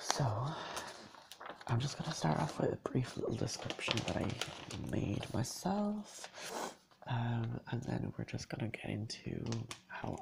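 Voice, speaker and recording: This is a man. He is soft-spoken. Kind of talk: ASMR soft-spoken talk to camera.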